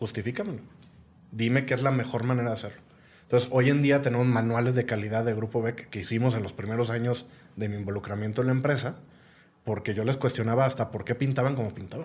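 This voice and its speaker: Very fast, somewhat breathy male speech at a medium pitch with fairly even intonation. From Guadalajara, Mexico. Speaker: entrepreneur and business executive. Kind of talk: casual interview conversation.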